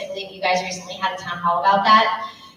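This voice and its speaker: Noticeable noise and audible echo fill the room. Within them, a woman talks at a mid-range pitch. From New Jersey, US. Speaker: county elections director. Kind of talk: public presentation with Q&A.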